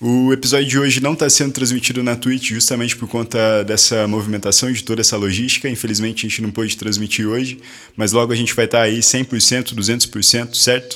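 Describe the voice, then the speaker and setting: With hardly any pauses, a man speaks at a fairly quick pace and a medium pitch, his intonation monotone and flat. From Paraná, Brazil (Guarapuava). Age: 20s. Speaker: podcast host. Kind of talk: casual chat. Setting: studio.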